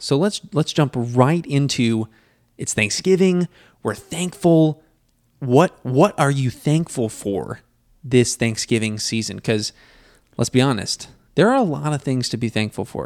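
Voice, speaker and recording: In a very clean, dry and close recording with a silent background and no echo, a man with a plain, everyday voice speaks at a fairly slow pace, his pitch medium and his intonation lively. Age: 20s. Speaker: podcast host. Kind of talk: casual chat.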